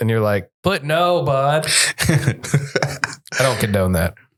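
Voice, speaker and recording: A put-on character voice, raspy and very slow, in a Canadian accent. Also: man, medium pitch for a man. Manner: mocking.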